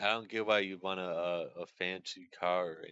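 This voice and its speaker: Fairly even intonation from a man with a very deep, low pitch. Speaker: streamer. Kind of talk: casual chat. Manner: monotone; halting.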